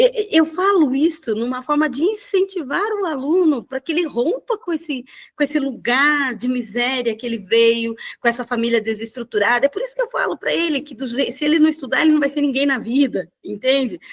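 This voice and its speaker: A loud, high-pitched woman's voice with lively intonation and hardly any pauses. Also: fairly quick pace. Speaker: mediator. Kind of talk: casual chat. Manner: halting.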